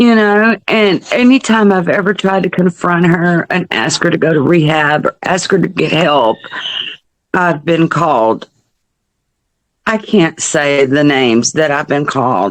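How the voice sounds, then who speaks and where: A woman with an American accent speaks at a fairly slow pace in a fairly low voice, her intonation lively and her loudness very even. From US South. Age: 60s. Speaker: mother of a person with addiction. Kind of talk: interview testimony.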